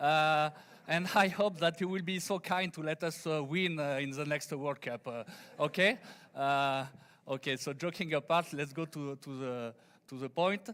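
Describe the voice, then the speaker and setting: A fairly high-pitched man with a French accent on a very clean recording, silent background. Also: ordinary pitch variation. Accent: French accent, noticeable. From France. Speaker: engineer, conference speaker. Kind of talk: conference presentation. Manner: halting, many fillers; deliberately slow.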